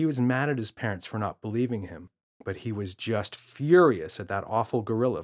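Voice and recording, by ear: The background stays quiet. Someone reads aloud in a natural voice.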